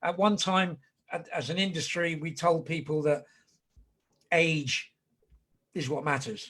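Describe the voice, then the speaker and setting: A man with a fairly high pitch and a bright, sharp tone talks at a fairly slow pace with fairly even intonation, leaving long, frequent pauses. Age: 60s. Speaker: whisky ambassador. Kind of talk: casual chat. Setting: video call.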